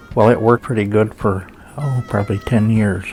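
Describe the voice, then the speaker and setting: Music plays behind a man whose voice sits fairly low in pitch. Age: 80s+. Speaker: prostate cancer survivor. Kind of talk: testimony.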